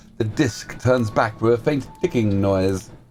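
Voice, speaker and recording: A man keeps to a moderate pace while music sounds in the background. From London, England. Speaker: streamer. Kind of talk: reading aloud; casual chat. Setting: home office.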